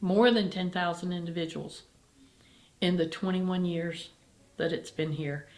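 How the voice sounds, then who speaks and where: Audible room echo surrounds a woman's voice. She speaks at a medium pitch with monotone, flat intonation. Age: 60s. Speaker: charity executive director and cancer survivor. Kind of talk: interview.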